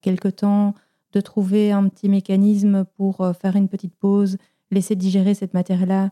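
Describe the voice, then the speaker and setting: A woman's medium-pitched voice with a dark, mellow tone and monotone, flat intonation at a moderate pace, dry and close with no echo on a very clean recording with a silent background. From Belgium. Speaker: podcast producer. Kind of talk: interview.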